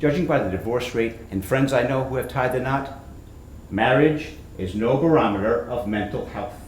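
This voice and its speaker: A man speaks at a moderate pace with a medium pitch and ordinary pitch variation, with audible room echo and noticeable background noise. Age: 60s. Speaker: author and comedic performer. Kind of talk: reading aloud from own book.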